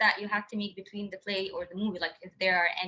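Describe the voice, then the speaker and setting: A woman with a non-native accent. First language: not English. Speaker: interviewer. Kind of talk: interview.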